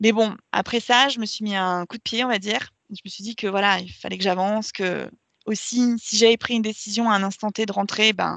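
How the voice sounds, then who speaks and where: A woman speaks at a medium pitch and a moderate pace, in a monotone, flat delivery. The sound is dry and close with no echo, over a quiet background. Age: 30s. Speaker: marketing coordinator and yoga teacher. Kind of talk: casual interview. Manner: hesitant, many fillers.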